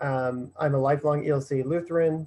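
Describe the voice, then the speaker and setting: A man with a Midwestern American accent speaks in a fairly high, dark and mellow voice. His intonation is flat and monotone against a quiet background. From west central Illinois. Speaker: divinity student. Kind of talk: panel discussion.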